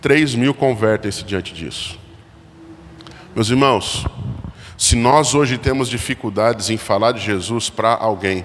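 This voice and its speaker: Against noticeable background noise, a man speaks at a medium pitch and a fairly slow pace with ordinary pitch variation and long, frequent pauses. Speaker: pastor, guest preacher. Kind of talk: sermon. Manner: occasional stammering restarts.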